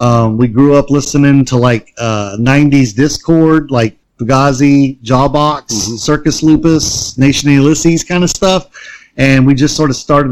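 Speaking in a normal speaking voice with an American accent, a man holds a fairly high pitch and a moderate pace, with ordinary pitch variation and hardly any pauses. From US South. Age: 40s. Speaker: punk musician. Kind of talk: casual chat. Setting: remote call.

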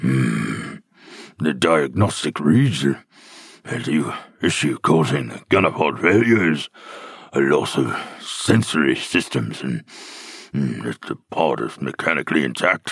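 A man with very deep, low pitch and lively intonation, at a fairly slow pace, in a dry, close sound with no echo. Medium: audio drama. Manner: thoughtful, analytical.

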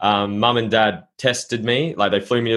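A man with an Australian accent, fairly low in pitch, fairly even in intonation, in a very clean recording with a silent background. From Norfolk Island. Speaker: entrepreneur and mindset coach. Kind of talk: casual interview.

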